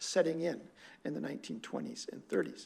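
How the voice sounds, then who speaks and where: Amid audible room echo, a man speaks high in pitch with a dark, mellow tone. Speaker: professor of Korean linguistics. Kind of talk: lecture. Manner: fast.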